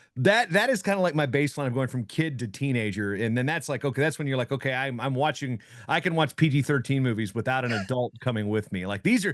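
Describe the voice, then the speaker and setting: A man with a plain, everyday voice talks at a fairly quick pace with lively intonation and medium pitch. The background is quiet. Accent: American. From Virginia, Hampton Roads area. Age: 40s. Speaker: wrestling journalist and announcer. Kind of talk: casual podcast chat.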